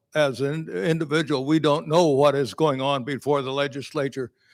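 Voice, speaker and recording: Recorded very cleanly with a silent background and a dry, close sound with no echo, a man speaks at a fairly high pitch and a moderate pace with fairly even intonation. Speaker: resident asking a question. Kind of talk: audience question at meeting. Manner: loud.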